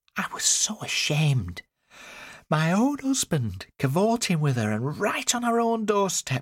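In a very clean recording with a silent background, a man puts on a high-pitched character voice at a fairly slow pace, with very wide pitch swings.

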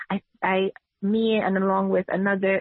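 Her accent is American. She talks at a moderate pace. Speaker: political candidate and nurse. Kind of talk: interview.

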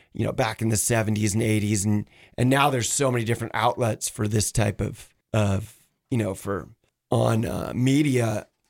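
With an American accent and an ordinary speaking voice, a man talks at a moderate pace, his fairly low pitch held in fairly even intonation. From Washington State. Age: 50s. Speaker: kayak shop owner and paddling coach. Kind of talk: casual radio interview. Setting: radio studio.

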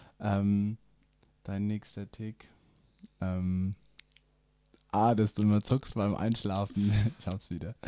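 A man speaks at a fairly low pitch in a dark, mellow tone, with monotone, flat intonation. His delivery is very slow with long, frequent pauses, and the sound is dry and close with no echo. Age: 20s (21). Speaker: podcast co-host. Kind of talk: casual chat.

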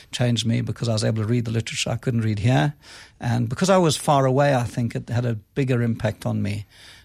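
In a very clean recording with a silent background, a man with a medium pitch and ordinary pitch variation talks at a very fast pace, sounding somewhat breathy. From South Africa, Cape Town. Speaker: business school dean. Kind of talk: radio interview.

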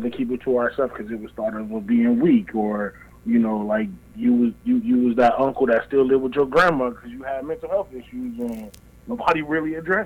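An unremarkable speaking voice with lively intonation, at a fairly quick pace. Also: man. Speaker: caller. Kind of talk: casual chat.

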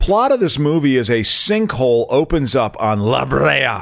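A man with an American accent and an unremarkable speaking voice, fairly high-pitched, with lively intonation at a fairly slow pace. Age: 50s. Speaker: comedian. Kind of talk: casual chat.

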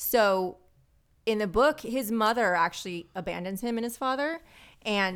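Here is an unremarkable speaking voice from a woman, pitched fairly high with ordinary variation. The recording is very clean, with a silent background. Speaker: podcaster and pinup model. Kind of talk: casual chat.

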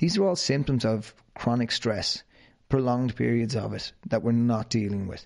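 The speaker talks in an Irish accent at a moderate pace with ordinary pitch variation. The background is quiet. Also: man, medium pitch for a man. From Ireland, County Wicklow. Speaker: fitness trainer and podcast host. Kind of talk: interview, answering questions.

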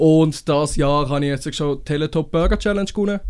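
In a very clean recording with a silent background, a man talks at a moderate pace in a plain, everyday voice, fairly high in pitch with ordinary pitch variation. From Switzerland, Winterthur area. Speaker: chef. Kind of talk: casual chat. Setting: studio.

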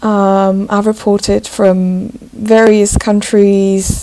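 The speech comes in a Slovak accent with monotone, flat intonation. Noticeable background noise is present. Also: woman. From Slovakia. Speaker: journalist. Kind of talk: interview. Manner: halting.

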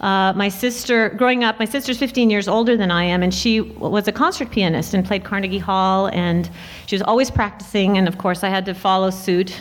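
With a plain, everyday voice, a woman with an American accent and a medium pitch talks at a fairly quick pace with hardly any pauses and fairly even intonation. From US Pacific Northwest, Portland, Oregon. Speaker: film and TV composer. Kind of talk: panel talk at a luncheon. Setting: jazz club stage with audience.

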